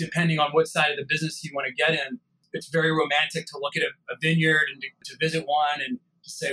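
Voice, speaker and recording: With an American accent, this man has an unremarkable speaking voice, fairly high in pitch, moving at a moderate pace. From US, Italian American family. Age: 40s. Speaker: wine company founder. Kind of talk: interview.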